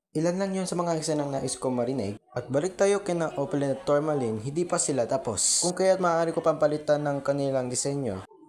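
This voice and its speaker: This man talks at a very fast pace in a fairly high voice, his pitch varying in an ordinary way. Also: hardly any pauses. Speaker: YouTuber and aspiring voice actor. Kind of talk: casual vlog introduction.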